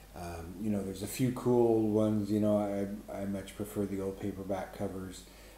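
A man with a fairly low pitch talks at a moderate pace, with audible room echo and light background noise. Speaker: book reviewer. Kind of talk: casual vlog chat. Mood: wry, amused. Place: home room. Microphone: webcam.

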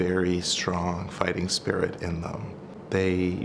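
Over noticeable background noise, a man speaks at a fairly slow pace with a very deep, low pitch. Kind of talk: interview answer. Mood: warm, earnest. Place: office.

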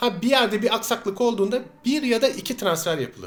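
Animated in tone, a man speaks at a fairly quick pace. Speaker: political video blogger. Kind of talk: monologue commentary to camera.

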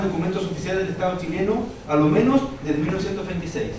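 Talking at a fairly quick pace, a man with a high voice is heard over noticeable background noise and audible room echo. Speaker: conference panelist. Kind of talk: read academic talk. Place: hall.

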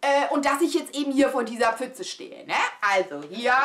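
The speech moves at a fairly slow pace in an animated, dramatic tone. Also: woman. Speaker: vlogger. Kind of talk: storytelling, casual vlog chat to camera. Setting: home video. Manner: animated, chatty, exclamatory, mixes in English phrases; excitable, dramatic, confiding. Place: home room.

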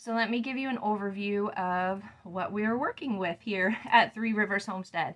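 At a moderate pace, a woman speaks at medium pitch with ordinary pitch variation and a fairly bright tone.

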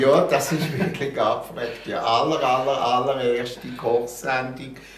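A man with a Basel accent, very slow delivery, ordinary pitch variation, audible room echo and light background noise. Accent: Basel Swiss German. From Basel, Switzerland. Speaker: TV and radio host, columnist. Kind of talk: interview answer. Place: home room.

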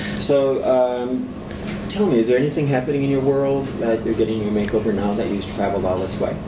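Noticeable background noise runs under speech delivered at a fairly quick pace. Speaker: makeover stylist interviewer. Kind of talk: interview. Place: studio.

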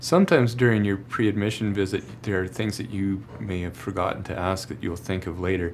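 Light background noise sits behind a man with a very deep, low pitch. He talks at a fairly quick pace. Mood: warm, reassuring.

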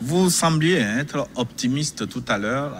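Faint music plays in the background. The speech moves at a fairly slow pace. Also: man. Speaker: TV debate moderator. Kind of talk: televised panel debate. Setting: studio. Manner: formal. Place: studio. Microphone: studio mic.

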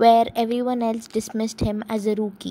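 The woman's pitch is fairly high. Her intonation stays monotone and flat. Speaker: commentary youtuber. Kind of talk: commentary talk to camera. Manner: stammering.

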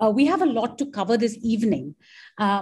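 A somewhat breathy woman's voice. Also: quiet background. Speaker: event host. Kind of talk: welcome address. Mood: warm, then somber. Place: home room. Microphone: video call.

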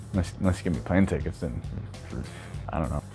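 This is a man's voice. Behind it, music plays faintly. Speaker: voice actor. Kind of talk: casual talk to camera. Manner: rambling, hesitant. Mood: playful, self-deprecating. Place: home room.

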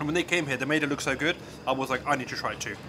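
Male voice amid noticeable background noise. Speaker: food vlogger. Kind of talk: casual food review vlog. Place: cafe. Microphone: camera far.

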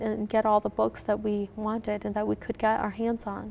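Talking at a fairly quick pace, a woman with an American accent has a fairly high pitch. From Minnesota, US (Hmong refugee family). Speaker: author. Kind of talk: interview. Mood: warm, reflective. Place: studio.

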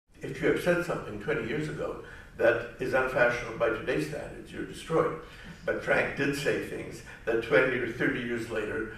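Audible room echo surrounds a man as he speaks. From Quebec. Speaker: professor; speaker. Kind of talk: commemorative talk. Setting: live event with audience. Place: hall.

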